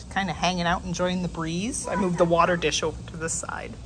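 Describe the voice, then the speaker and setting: A woman speaks over noticeable background noise. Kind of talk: casual vlog chat. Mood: happy, excited. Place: cafe. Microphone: phone near.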